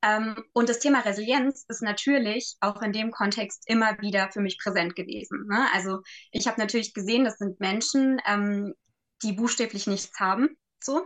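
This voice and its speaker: A woman talks at a moderate pace in a fairly high pitch. Her pitch varies in an ordinary way. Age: 20s. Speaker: social worker and resilience trainer. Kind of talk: casual chat. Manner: halting, frequent fillers.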